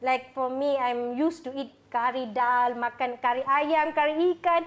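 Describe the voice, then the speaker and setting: Against a quiet background, a woman with a Tamil accent speaks in a high pitch at a moderate pace with fairly even intonation. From Sabah, Malaysia, Indian community. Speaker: religious sister. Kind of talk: casual interview. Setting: studio.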